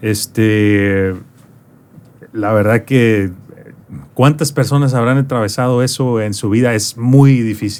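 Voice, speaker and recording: A man's medium-pitched voice at a very slow pace, with fairly even intonation and long, frequent pauses. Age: 30s. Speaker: podcast host. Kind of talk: interview.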